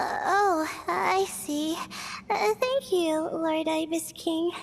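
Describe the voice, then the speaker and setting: In a put-on character voice pitched extremely high, someone speaks very slowly over clearly audible background noise. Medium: video game. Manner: hesitant, polite.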